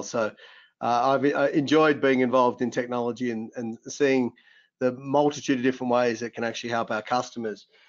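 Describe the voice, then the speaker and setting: A man is speaking with an Australian accent. His pitch sits in the medium range. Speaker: tech company CEO. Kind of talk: webinar discussion. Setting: online webinar. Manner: fast.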